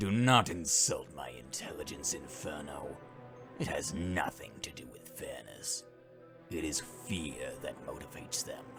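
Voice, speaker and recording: Music plays clearly in the background. A man performs a put-on character voice at a moderate pace. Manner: menacing, haughty.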